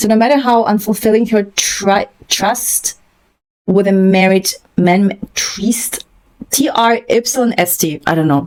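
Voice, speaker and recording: A woman's medium-pitched voice with a non-native accent, very slow and very even in loudness, with ordinary pitch variation. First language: not English. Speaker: book commentator. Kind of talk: reading aloud with casual commentary. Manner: hesitant, halting with fillers.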